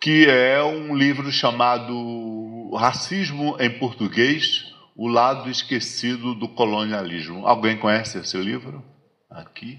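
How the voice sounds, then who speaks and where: At a very slow pace, a man speaks with medium pitch, ordinary pitch variation, and big swings in loudness. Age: 60s. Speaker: lecturer on African philosophy. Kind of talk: lecture. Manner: halting, many repetitions.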